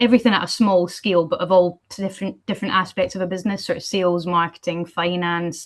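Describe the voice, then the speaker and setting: A woman speaks with an Edinburgh accent. Her intonation stays fairly even over a quiet background. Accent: Scottish (Edinburgh). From Scotland, Edinburgh. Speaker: postal industry executive. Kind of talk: panel discussion. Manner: casual, many fillers.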